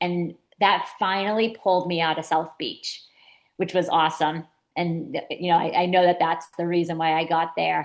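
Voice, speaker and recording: A woman with a Boston accent and a fairly low pitch, against a quiet background. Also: moderate pace. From Massachusetts, coast between Boston and Cape Cod. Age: 50s. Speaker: children's author and inspirational speaker. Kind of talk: interview storytelling. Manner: animated.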